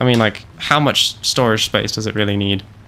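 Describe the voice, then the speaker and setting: A man with a British accent speaks at a fairly quick pace. His pitch is medium and his tone bright and sharp. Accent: British accent kept. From UK, moved to Canada at four. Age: 20s. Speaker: gaming streamer. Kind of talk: live gameplay stream chat. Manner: animated.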